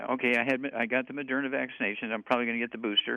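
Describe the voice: A man with a medium pitch and vocal fry speaks with ordinary pitch variation.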